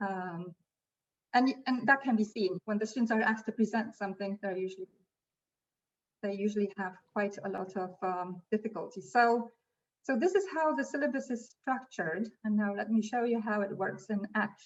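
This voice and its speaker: A woman's somewhat breathy, fairly high voice at a moderate pace, with ordinary pitch variation. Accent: non-native. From Poland. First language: Polish. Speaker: language school teacher. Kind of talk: webinar presentation.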